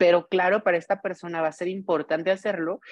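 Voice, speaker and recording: Her voice is a plain, everyday voice, with a woman speaking at a fairly low pitch and a moderate pace. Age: 30s. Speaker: journalist. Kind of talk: casual chat.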